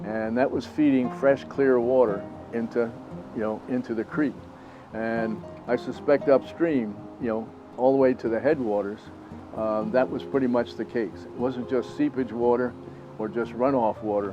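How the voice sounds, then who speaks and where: Music plays in the background as a man speaks in a medium pitch at a moderate pace with ordinary pitch variation. He takes long, frequent pauses. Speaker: retired teacher. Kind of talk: oral history interview answer.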